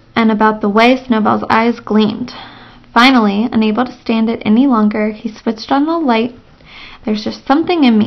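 The speaker reads aloud. It is done in a natural voice.

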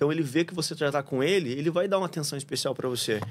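Male voice with ordinary pitch variation. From Paraná, Brazil (São José dos Pinhais); Paraná, Brazil. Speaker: surfer, traveller guest; podcast guest. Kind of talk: casual chat; casual interview conversation. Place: studio. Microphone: studio mic.

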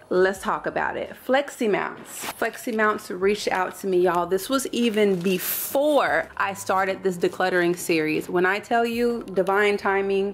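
A woman at a moderate pace with hardly any pauses, ordinary pitch variation, and light background noise. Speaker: home vlogger. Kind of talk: casual vlog chat. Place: garage. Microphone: phone near.

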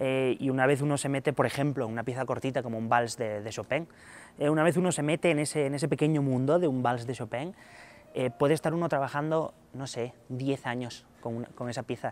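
Fairly even intonation comes with a fairly quick pace. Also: man. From Asturias, northern Spain. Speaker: concert pianist. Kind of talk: interview. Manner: halting, many repetitions and fillers. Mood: relaxed, thoughtful, friendly. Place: stage.

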